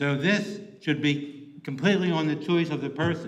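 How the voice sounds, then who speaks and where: A fairly high-pitched male voice at a moderate pace, fairly even in intonation, with audible room echo and noticeable background noise. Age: 70s. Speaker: public commenter. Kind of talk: public comment. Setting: county commissioners' meeting. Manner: halting.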